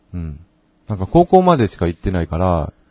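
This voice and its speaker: A man's dark, mellow, somewhat breathy voice with very wide pitch swings, dry and close with no echo, against a quiet background. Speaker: podcast co-host. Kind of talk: casual chat.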